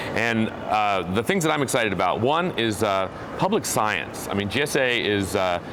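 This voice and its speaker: A man with an American accent speaks at a moderate pace in a fairly low pitch, with lively intonation and very even loudness. There's audible room echo along with noticeable background noise. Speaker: geologist and professor. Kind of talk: interview. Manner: animated.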